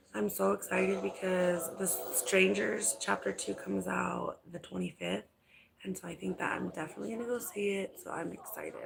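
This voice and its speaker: A woman is whispering at a moderate pace. Background noise is noticeable throughout. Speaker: vlogger live streaming. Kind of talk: casual live stream chat.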